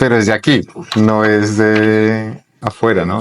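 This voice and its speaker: A man's fairly low voice, dry and close with no echo. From Colombia, Bogotá. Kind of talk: interview conversation. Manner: hesitant, repeats words.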